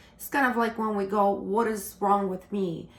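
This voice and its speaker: A woman with a non-native accent speaks at a fairly slow pace. Her pitch is medium and her intonation fairly even. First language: not English. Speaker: tarot reader. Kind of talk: tarot reading monologue. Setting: on camera. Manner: halting.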